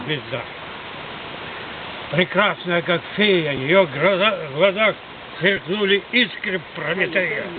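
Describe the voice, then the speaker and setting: Over noticeable background noise, a man with a high voice and ordinary pitch variation speaks very slowly, leaving long, frequent pauses. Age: 80s+. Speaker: folk poet. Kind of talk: poetry reading.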